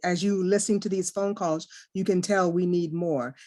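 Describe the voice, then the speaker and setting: Over a quiet background, a woman with a medium pitch speaks at a moderate pace. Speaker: union member caller. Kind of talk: open call question.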